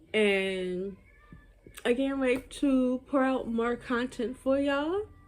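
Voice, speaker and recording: Speaking at a very slow pace, a woman uses a high pitch and lively intonation. Her loudness stays very even. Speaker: YouTuber. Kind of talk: storytime vlog. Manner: casual, filler-heavy.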